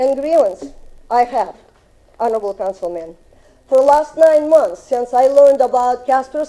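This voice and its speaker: With a Russian accent and lively intonation, a woman talks over noticeable background noise. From Russia (Soviet Union). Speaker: resident speaking at public hearing. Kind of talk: public comment at city council. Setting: city council chamber. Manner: halting.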